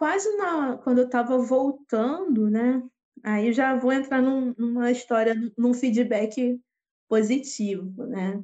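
A woman with a Carioca accent speaks at a very slow pace, her high pitch carrying a dark, mellow tone and ordinary pitch variation. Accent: carioca Brazilian Portuguese. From Rio de Janeiro, Brazil. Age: 30s. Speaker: street musician. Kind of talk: casual interview.

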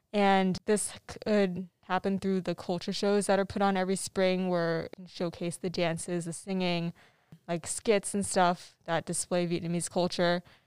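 A woman with an American accent has an unremarkable speaking voice at medium pitch, delivered at a moderate pace with fairly even intonation. The recording is very clean, with a silent background. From US, Arizona. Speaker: university student. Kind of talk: interview.

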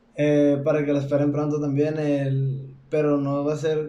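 At a fairly slow pace, a man with a fairly high pitch and a dark, mellow tone speaks with fairly even intonation. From Mexico, Sonora. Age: 20s. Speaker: singer. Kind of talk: casual chat.

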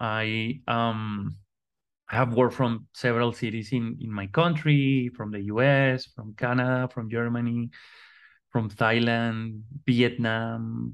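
Against a quiet background, a man with a Spanish accent speaks very slowly at a medium pitch with fairly even intonation. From Colombia. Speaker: artist and design educator. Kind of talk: interview conversation. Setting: remote call. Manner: halting, many repetitions and fillers.

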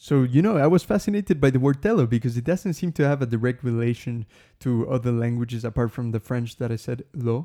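With a Spanish accent, a man talks very fast at a medium pitch, his tone dark and mellow, his pitch varying in an ordinary way, and the sound dry and close with no echo. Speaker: language podcast host. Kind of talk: solo podcast monologue. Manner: casual, many filler words.

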